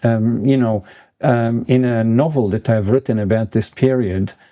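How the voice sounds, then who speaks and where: A man speaks at a fairly slow pace in a dark, mellow tone on a very clean recording with a silent background. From Israel. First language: Yiddish. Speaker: professor. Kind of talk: interview. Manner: hesitant, frequent ums.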